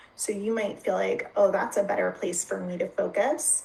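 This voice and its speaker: A woman's voice with noticeable background noise. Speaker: health counselor. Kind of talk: presentation with guided practice. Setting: online live video event. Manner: slow.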